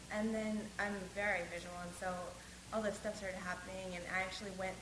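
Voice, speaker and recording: A woman talks in a flat monotone against noticeable background noise. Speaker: retreat participant. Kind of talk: casual sharing.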